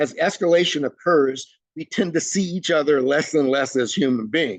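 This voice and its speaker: Fairly high for a man, his voice is an ordinary speaking voice with ordinary pitch variation at a moderate pace. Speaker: trainer. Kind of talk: webinar presentation.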